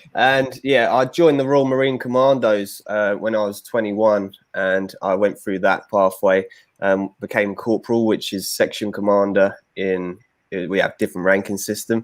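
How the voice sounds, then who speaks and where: A man at a fairly low pitch and moderate pace, with ordinary pitch variation, on a very clean recording with a silent background. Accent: English. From London, England. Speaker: former commando, bodyguard. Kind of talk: podcast interview.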